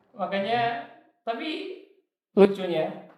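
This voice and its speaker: Audible room echo fills the space. A man talks fairly slowly. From Indonesia, Surabaya then Papua. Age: 20s. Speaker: young entrepreneur. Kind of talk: interview.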